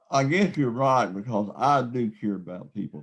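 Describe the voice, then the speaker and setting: Here a man talks in a Southern US accent at a medium pitch. His pace is fairly slow, with ordinary pitch variation. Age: 60s. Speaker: epilepsy advocate. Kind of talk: interview.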